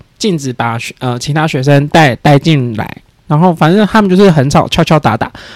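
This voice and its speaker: Over noticeable background noise, a man with a fairly high pitch talks using lively intonation. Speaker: podcast guest. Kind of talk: casual chat.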